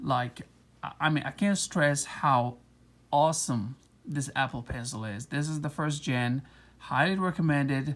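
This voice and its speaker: Speech with a non-native accent comes at a fairly slow pace on a very clean recording with a silent background. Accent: non-native English accent, noticeable. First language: not English. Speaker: tech reviewer. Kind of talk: casual product review. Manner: casual, many fillers.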